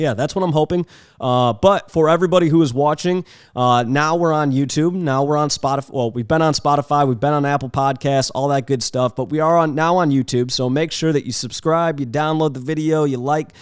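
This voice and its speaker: A plain, everyday voice from a man, fairly high in pitch and fairly quick, with ordinary pitch variation, on a very clean recording with a silent background. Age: 20s. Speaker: podcast host and photographer. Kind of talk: casual chat. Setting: home studio with cameras. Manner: casual, lots of filler words.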